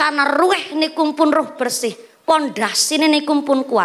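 The tone is animated. The pace is moderate. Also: woman. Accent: Javanese. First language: Javanese (speaking Indonesian). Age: 20s. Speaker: female preacher. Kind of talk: comedic sermon. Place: stage. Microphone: handheld.

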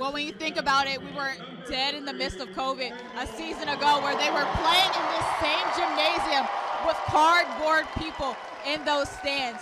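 A woman with a high pitch raises and projects her voice over loud background noise. The sound is dry with no echo. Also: ordinary pitch variation, moderate pace. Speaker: sports reporter. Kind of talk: studio stand-up reporting, game preview. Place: stadium. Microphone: handheld.

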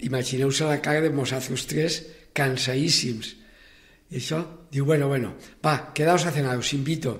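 The man's voice is somewhat breathy. Behind him the background stays quiet. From Valencia region. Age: 80s. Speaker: cooperative movement pioneer. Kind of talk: interview, personal life story. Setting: radio studio. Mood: warm, reminiscing. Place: studio.

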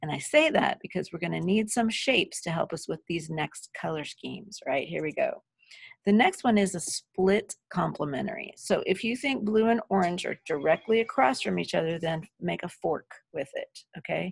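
A woman speaks at a moderate pace, the sound dry with no echo and the background quiet. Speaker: teacher. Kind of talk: lecture. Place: home room. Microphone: webcam.

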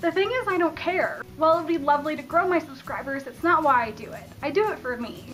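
A woman with an American accent speaks at a very fast pace with an extremely high pitch and lively intonation. Her loudness swings widely over light background noise. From Colorado. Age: 20s. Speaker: YouTuber. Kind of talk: casual talk to camera. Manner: enthusiastic. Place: home room. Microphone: phone near.

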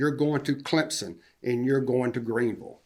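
A man in a Southern US accent, at medium pitch and a moderate pace. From US South, upstate South Carolina. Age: 60s. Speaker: public commenter at a city council meeting. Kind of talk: public comment at a council meeting.

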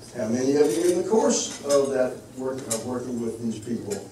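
Loud background noise and audible room echo surround the speaker. He is a man talking at a fairly quick pace. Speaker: geriatrics educator. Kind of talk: lecture. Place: hall.

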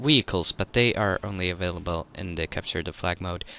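With a Swedish accent, a man speaks at a moderate pace in a very deep, low pitch with ordinary pitch variation. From Sweden. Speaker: gaming YouTuber. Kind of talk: gameplay commentary. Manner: halting.

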